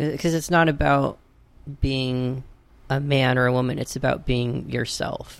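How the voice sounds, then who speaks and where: A normal speaking voice from a man, medium in pitch, at a fairly slow pace. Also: fairly even intonation. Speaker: transgender community advocate. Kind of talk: interview conversation.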